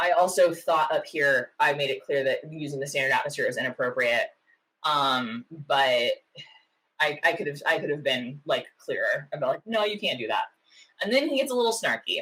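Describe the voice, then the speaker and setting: A woman at a moderate pace, with a slight Oklahoma accent. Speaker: meteorologist, science YouTuber. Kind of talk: casual reaction commentary. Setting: home office. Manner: many fillers (um, uh, like).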